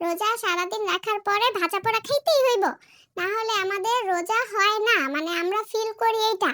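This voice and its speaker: At a moderate pace, a woman speaks with an extremely high pitch and ordinary pitch variation, the sound dry and close with no echo. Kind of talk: comic cooking-show parody. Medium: solo performance. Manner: fast, chatty, jokey.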